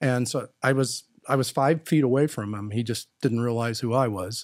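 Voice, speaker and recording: A man with an American accent speaks in a normal speaking voice at medium pitch and a moderate pace, his dry, close sound free of echo on a very clean recording with a silent background. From Wisconsin, US Midwest. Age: 60s. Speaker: HR executive. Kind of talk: casual interview.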